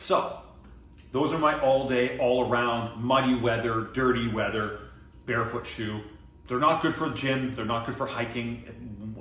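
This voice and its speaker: A man with a Canadian accent at a medium pitch, fairly even intonation, audible room echo and noticeable background noise. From Atlantic Canada, Halifax, Nova Scotia. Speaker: fitness coach. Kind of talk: product review vlog. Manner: casual, halting with self-corrections.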